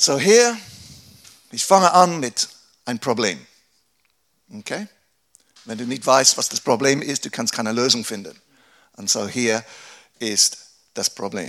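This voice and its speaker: A man speaks at medium pitch with lively intonation and big swings in loudness. Long, frequent pauses break up his speech. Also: fairly slow pace. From England. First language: English (speaking German). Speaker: pastor. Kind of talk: workshop talk. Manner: halting.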